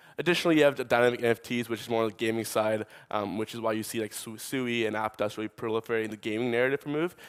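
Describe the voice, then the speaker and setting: A man's medium-pitched voice with a New York accent at a very fast pace, fairly even intonation, dry and close with no echo, on a very clean recording with a silent background. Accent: New York American. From US, New York. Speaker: tech startup co-founder, conference speaker. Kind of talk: conference talk. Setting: conference stage with audience.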